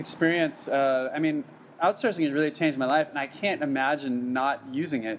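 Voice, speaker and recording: A man with a plain, everyday voice speaks at a moderate pace, his pitch fairly high and his intonation lively. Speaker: podcast host. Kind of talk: interview.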